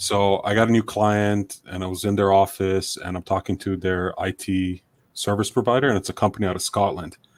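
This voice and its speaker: On a very clean recording with a silent background, a man talks at a moderate pace in a fairly low pitch. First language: not English. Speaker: marketing consultant. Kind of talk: casual chat.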